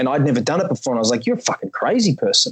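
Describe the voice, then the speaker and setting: A man with an Australian accent and ordinary pitch variation. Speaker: podcast host and actor. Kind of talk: casual chat.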